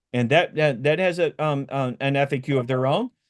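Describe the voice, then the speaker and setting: The man speaks at a fairly quick pace in an American accent. His intonation is lively. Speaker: compliance expert giving a webinar. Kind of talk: webinar lecture. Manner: fast; halting, many fillers and restarts.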